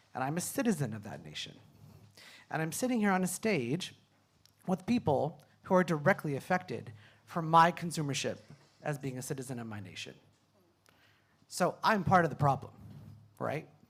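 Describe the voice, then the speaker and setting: A man with vocal fry speaks with lively intonation, big swings in loudness and long, frequent pauses. The recording is very clean and the background silent. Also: fairly high pitch for a man, moderate pace. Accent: American. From California, US. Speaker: PhD student, climate panelist. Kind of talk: panel discussion. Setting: stage with audience.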